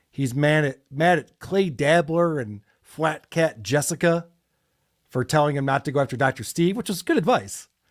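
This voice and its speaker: This is a plain, everyday voice with lively intonation at a moderate pace. The recording is very clean, with a silent background. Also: man, fairly high pitch for a man. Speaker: podcast commentator. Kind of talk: podcast commentary on clips. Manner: casual, conversational.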